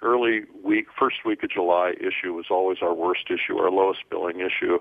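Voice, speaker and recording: A man speaks with an American accent. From US Midwest. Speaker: entrepreneur and publisher. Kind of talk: interview.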